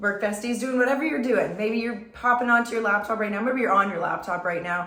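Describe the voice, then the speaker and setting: Noticeable background noise and audible room echo surround the voice. A woman speaks at a fairly high pitch and a fairly quick pace. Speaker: beauty content creator. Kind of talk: makeup tutorial. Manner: casual, chatty.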